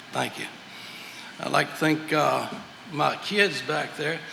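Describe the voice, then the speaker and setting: A man with a fairly high pitch talks at a moderate pace in a Southern US accent, with noticeable background noise and audible room echo. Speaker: master mason. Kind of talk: lecture.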